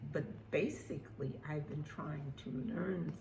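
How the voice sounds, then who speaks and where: Speaking very slowly, a woman uses lively intonation with vocal fry. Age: 80s+. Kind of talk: casual talk to camera.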